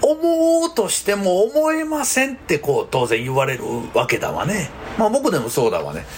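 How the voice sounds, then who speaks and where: There is noticeable background noise as a man speaks with a Kansai accent. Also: moderate pace. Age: 50s. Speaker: counselor and podcast host. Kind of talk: solo podcast monologue. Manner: casual, chatty.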